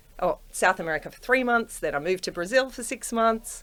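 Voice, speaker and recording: A woman with an Australian accent, fairly high in pitch, at a moderate pace, on a very clean recording with a silent background. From Australia, Penrith. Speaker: property investor, corporate professional. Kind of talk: casual interview chat.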